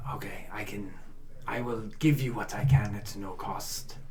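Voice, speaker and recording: Over clear background noise, a man puts on a character voice at a medium pitch and a moderate pace. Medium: actual play. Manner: hesitant, full of ums and uhs, polite; formal, few contractions.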